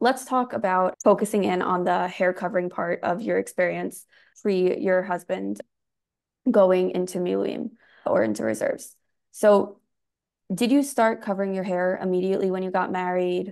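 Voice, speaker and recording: In a quiet background, a woman talks in a normal speaking voice at a medium pitch. Her pace is moderate and her pitch variation ordinary. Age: young. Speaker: podcast host. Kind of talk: interview; scripted narration. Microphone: earbuds.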